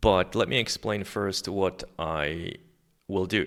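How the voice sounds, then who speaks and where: A man with a non-native accent talks with vocal fry. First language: not English. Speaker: software developer. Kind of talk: coding screencast tutorial. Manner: casual with many fillers.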